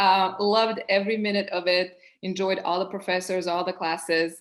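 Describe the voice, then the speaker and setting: She speaks with a Serbian accent. Her intonation stays fairly even. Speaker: project manager, panelist. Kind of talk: panel discussion.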